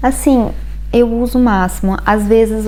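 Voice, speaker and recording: A woman's voice is heard with audible room echo. Noticeable background noise fills the recording. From Brazil. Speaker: vlogger. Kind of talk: casual vlog talk. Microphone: bad audio.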